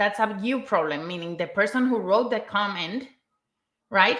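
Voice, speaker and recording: With a non-native accent, a woman talks at a fairly high pitch with ordinary pitch variation. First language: not English. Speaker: content writer, mental health guest. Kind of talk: live stream discussion.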